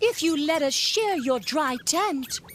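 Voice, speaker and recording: High pitch in a put-on character voice at a fairly slow pace, with clear background noise. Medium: read story.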